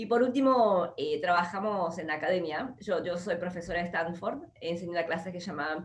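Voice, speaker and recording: A woman in a porteño accent speaks at a moderate pace with hardly any pauses, a fairly low pitch and ordinary pitch variation, over noticeable background noise. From Argentina, Buenos Aires. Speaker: entrepreneur and investor. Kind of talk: interview. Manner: hesitant fillers.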